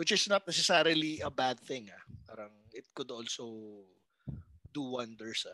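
The man's bright, sharp voice holds a medium pitch at a fairly slow pace, with big swings in loudness. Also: lively intonation. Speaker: comedy podcast host. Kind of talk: casual chat.

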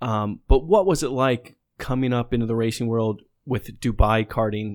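At a moderate pace and medium pitch, a man talks in an unremarkable speaking voice on a very clean recording with a silent background. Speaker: podcast co-host. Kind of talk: casual chat.

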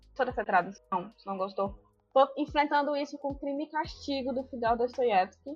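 A woman's high pitch with ordinary pitch variation and big swings in loudness over music in the background. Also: moderate pace. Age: 20s. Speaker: law student, book lover. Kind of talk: casual chat.

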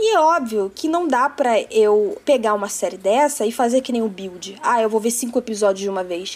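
Her intonation is lively. The woman speaks at a fairly high pitch. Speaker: cosplayer. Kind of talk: podcast interview.

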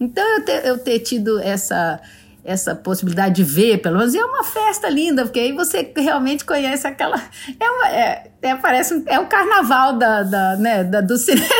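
A woman speaks at a moderate pace in a high pitch, her loudness very even while her pitch swings very widely. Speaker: TV executive producer. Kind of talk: casual interview.

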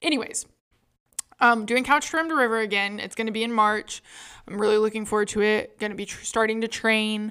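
Her voice sits fairly high for a woman. It has a bright, sharp tone. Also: fairly even intonation. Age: 20s. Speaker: podcast co-host. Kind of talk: casual chat.

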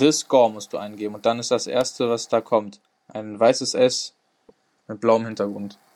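An ordinary speaking voice at a moderate pace, with fairly even intonation and big swings in loudness. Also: man, medium pitch for a man. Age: 20s. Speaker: sports podcast host, student. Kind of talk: casual sports chat.

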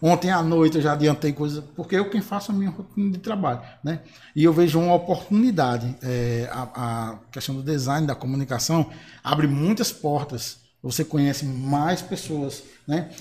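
In an ordinary speaking voice, a man with fairly high pitch talks at a moderate pace with ordinary pitch variation. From Bahia, Brazil (Marizal). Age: 30s. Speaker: singer and graphic designer. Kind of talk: panel discussion.

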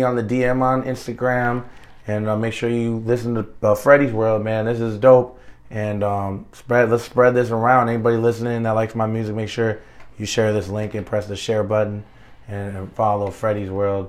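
The delivery comes at a fairly quick pace in an American accent. Intonation stays monotone and flat. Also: man. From Minneapolis, Minnesota. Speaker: singer and actor. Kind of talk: casual interview.

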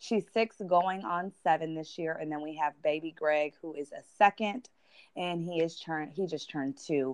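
A woman speaks in a plain, everyday voice at a fairly slow pace and a fairly low pitch, with ordinary pitch variation and a dry, close sound with no echo. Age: 20s. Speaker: business owner and podcast guest. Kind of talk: testimony.

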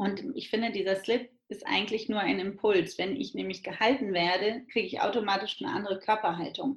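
The voice is a woman's, an ordinary speaking voice. It sits at a medium pitch and varies in an ordinary way. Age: 30s. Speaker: midwife and entrepreneur. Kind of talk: interview.

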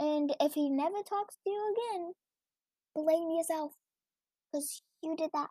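Speaking quietly at a moderate pace, a woman uses an extremely high pitch with a dark, mellow tone, long and frequent pauses, and a dry, close sound with no echo. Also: ordinary pitch variation. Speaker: podcaster reading and rating online stories. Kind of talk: reading aloud with commentary. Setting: home recording, early morning with family asleep. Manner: quiet, trying to talk louder.

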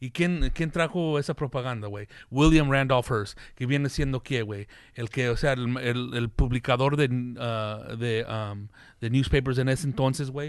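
An unremarkable speaking voice from a man at a fairly slow pace, with ordinary pitch variation and a quiet background. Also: medium pitch for a man. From US, Mexican-American family. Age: 40s. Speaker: comedian and podcast host. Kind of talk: casual chat.

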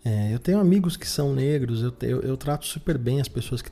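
A man talks at a fairly quick pace in a dark, mellow tone. His voice is somewhat breathy. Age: 30s. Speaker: podcast host. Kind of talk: solo monologue podcast. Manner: halting with frequent fillers.

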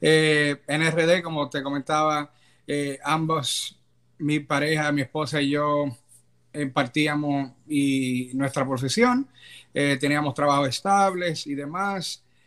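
In a very clean recording with a silent background, a man speaks very slowly at a fairly high pitch with fairly even intonation. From Dominican Republic. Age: 30s. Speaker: immigrant, business administrator. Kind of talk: interview. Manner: hesitant, many fillers.

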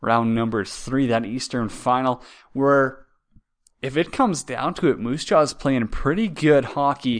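The speaker has a Canadian prairie accent and talks at a fairly slow pace. Pitch variation is ordinary, and the background is quiet. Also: man, medium pitch for a man. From Saskatchewan, Canada. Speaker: hockey podcast host. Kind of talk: casual solo sports talk. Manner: halting, frequent repetitions.

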